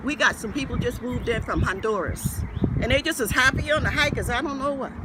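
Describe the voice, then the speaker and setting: A man at an extremely high pitch and very fast pace, with an American accent, ordinary pitch variation and noticeable background noise. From Gullah Geechee community, US Southeast. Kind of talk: interview answer.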